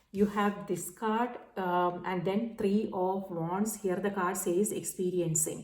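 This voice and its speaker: In a room with audible echo, a woman speaks at a medium pitch in a dark, mellow tone. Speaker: tarot reader. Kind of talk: tarot reading monologue. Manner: many fillers, halting.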